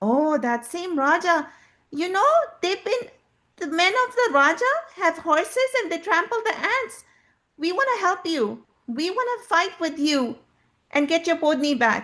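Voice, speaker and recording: Using a put-on character voice with an extremely high pitch, a woman speaks at a moderate pace with long, frequent pauses. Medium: read story.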